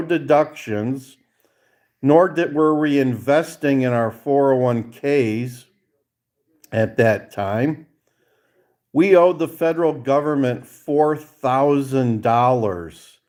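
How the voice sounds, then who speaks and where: At a very slow pace, a man with a fairly high pitch and ordinary pitch variation speaks on a very clean recording with a silent background. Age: 60s. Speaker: vlogger. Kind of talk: casual chat. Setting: hotel room.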